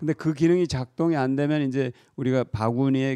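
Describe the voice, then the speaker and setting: Against a quiet background, a man of medium pitch talks at a fairly quick pace in a dark, mellow tone with ordinary pitch variation. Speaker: politician. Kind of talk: interview. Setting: office. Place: office. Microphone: handheld.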